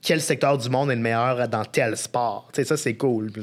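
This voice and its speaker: A man at medium pitch speaks fairly slowly in a plain, everyday voice with fairly even intonation. The recording is very clean, with a silent background. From Quebec, Beauce (Saint-Georges). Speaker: sports journalist. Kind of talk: casual chat.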